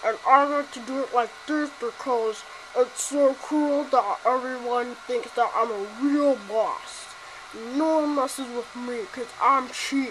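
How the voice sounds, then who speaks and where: A woman's high-pitched, put-on character voice at a fairly slow pace, over clear background noise. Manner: cocky, confident.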